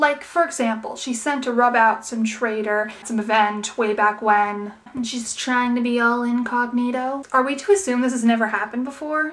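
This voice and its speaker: Against noticeable background noise, a woman talks in a high pitch with ordinary pitch variation and hardly any pauses. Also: moderate pace. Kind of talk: TV episode review talk to camera. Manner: casual, chatty.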